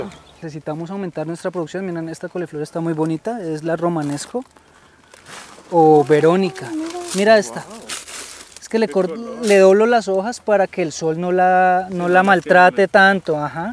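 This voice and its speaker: A man with a high-pitched voice talks at a moderate pace with ordinary pitch variation, big swings in loudness and long, frequent pauses, recorded dry with no echo over light background noise. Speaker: farm guide. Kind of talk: guided tour explanation. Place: farm. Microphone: phone near.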